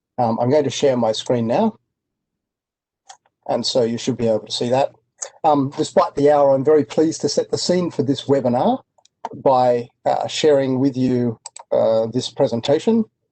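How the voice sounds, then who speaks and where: A man with an Australian accent, medium pitch and a dark, mellow tone, at a moderate pace with ordinary pitch variation and long, frequent pauses. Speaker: industry analyst. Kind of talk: presentation. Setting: online webinar.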